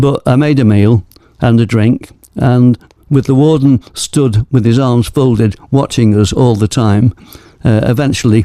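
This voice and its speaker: Dark and mellow in tone, a man speaks at a fairly slow pace. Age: 80s+. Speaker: mountaineer. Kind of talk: interview answer.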